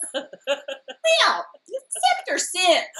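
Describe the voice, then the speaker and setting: This is a put-on character voice that sounds female. Her pitch sits extremely high. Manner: prim, pious, sanctimonious.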